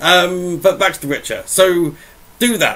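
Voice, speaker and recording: This man's voice sits fairly high. It has a bright, sharp tone. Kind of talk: casual gaming rant to camera. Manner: fast, overexcited.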